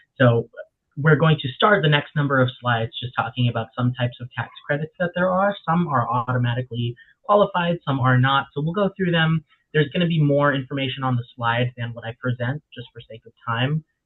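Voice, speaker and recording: Fairly quick and at a medium pitch, a man speaks with ordinary pitch movement and big swings in loudness. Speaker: legal workshop presenter. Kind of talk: webinar presentation. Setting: online webinar. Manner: fast.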